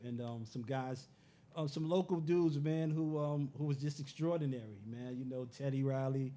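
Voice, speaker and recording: Here a man talks at a moderate pace with a medium pitch and fairly even intonation. His tone is dark and mellow. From New York City, Bronx and Harlem. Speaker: musician and former streetball player. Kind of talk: interview. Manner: halting, many fillers.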